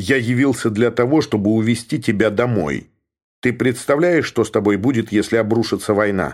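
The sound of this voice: Quiet background and an unforced reading voice with normal pitch variation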